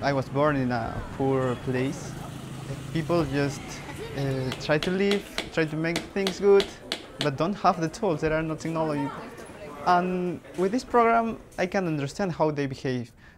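Amid noticeable background noise, a man with a Spanish accent speaks fairly slowly in a fairly high voice, with ordinary pitch variation and long, frequent pauses. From Peru. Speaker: university student. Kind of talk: interview testimony. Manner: halting.

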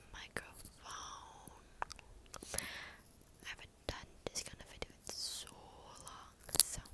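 Whispering, a woman speaks at a fairly slow pace. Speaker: ASMR creator. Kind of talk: soft ASMR intro chat. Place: home room. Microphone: earbuds.

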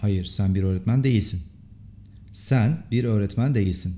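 Fairly low in pitch with ordinary variation, a man talks at a fairly slow pace in a dark, mellow, somewhat breathy tone. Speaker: English teacher. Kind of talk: language lesson tutorial.

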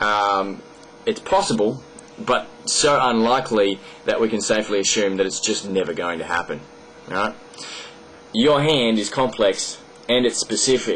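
A man with an Australian accent talks at a moderate pace, leaving long, frequent pauses. His pitch variation is ordinary, and light background noise can be heard. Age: 20s. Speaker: video blogger. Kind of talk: monologue explaining an argument to camera. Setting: at home desk recording a video. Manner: hesitant, many fillers. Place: home room. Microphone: webcam.

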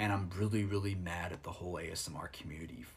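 This man's fairly low voice is somewhat breathy, moving at a moderate pace. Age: 30s. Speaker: ASMR streamer. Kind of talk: live stream monologue. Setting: live stream.

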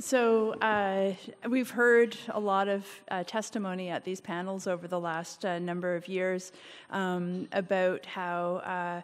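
Very slow delivery with fairly even intonation. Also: woman. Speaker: speaker. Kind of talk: formal testimony at a public meeting. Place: hall. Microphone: podium.

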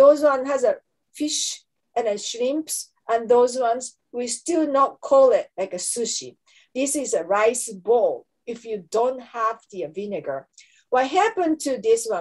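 Against a quiet background, a woman with a Japanese accent speaks at a fairly slow pace in a high voice with lively intonation. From Japan, Kanto region. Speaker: anthropology professor; professor presenting a lecture. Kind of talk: lecture. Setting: webinar. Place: home room. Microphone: webcam.

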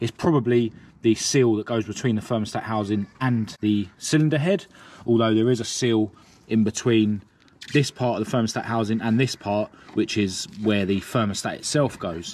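The man speaks at a moderate pace with ordinary pitch variation, and the sound is dry with no echo. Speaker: car repair vlogger. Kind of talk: tutorial. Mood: cheerful, relaxed. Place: street. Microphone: phone near.

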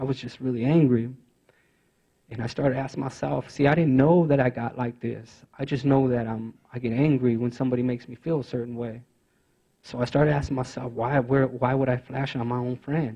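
The man talks at a fairly quick pace, somewhat breathy and monotone with flat intonation, against a quiet background. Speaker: youth navigator at a rehabilitation organization; former prisoner. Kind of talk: conference speech. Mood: earnest, reflective. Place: meeting room. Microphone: handheld.

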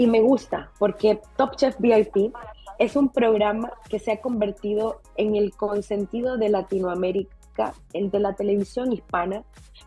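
Over faint music in the background, a woman speaks at a fairly slow pace and fairly high pitch with fairly even intonation. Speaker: interviewer. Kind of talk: interview questions. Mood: warm, admiring. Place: home room. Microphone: video call.

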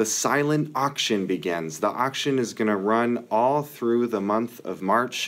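A man talks at a very slow pace. His pitch shows ordinary variation. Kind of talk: announcements. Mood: friendly, upbeat.

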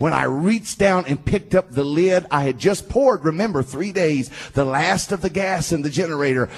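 A man talks in a Southern US accent. His tone is animated. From US South. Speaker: preacher. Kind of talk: sermon. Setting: stage with audience. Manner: fervent, rallying the congregation in praise. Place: church. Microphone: handheld.

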